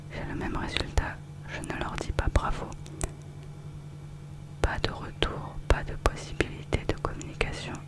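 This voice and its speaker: Over noticeable background noise comes a whisper at a fairly slow pace. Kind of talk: ASMR review reading, casual commentary. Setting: close-mic studio recording. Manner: whispered, soft-spoken, relaxing.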